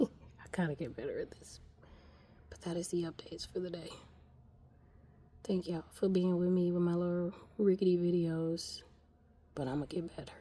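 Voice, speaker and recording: Whispering at a fairly quick pace, a woman leaves long, frequent pauses, her loudness swinging widely. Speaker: home gardener vlogger. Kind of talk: casual garden vlog. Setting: greenhouse.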